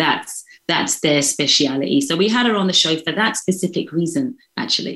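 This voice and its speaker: A woman's bright, sharp tone, with very wide pitch swings and very even loudness. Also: medium pitch for a woman, moderate pace. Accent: London. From London, England. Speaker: vegan chef. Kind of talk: interview.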